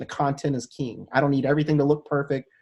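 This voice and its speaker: Very rapid, somewhat breathy male speech pitched fairly high. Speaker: advocacy show host. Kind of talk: casual interview chat. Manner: stutters, trips over words; animated.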